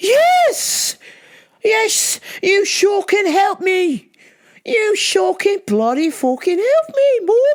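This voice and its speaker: Put-on character voice with very wide pitch swings at a very slow pace. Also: woman, extremely high pitch for a woman. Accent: English. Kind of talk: swearing. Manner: sarcastic, irate.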